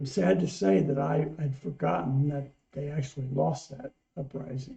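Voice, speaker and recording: A man with a plain, everyday voice, fairly high pitch for a man, lively intonation and a moderate pace. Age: 60s. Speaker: music reaction channel co-host. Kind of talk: casual chat.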